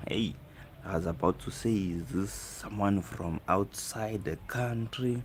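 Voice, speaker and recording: With an East African accent, a man speaks using ordinary pitch variation. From South Africa. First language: Swahili. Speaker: live streamer. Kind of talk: casual chat.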